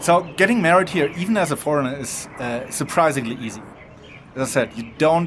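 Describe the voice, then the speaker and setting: Noticeable background noise sits behind the speaker. He is a man with a fairly high voice and lively intonation. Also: fairly quick pace. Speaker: podcast co-host. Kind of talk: casual chat. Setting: restaurant.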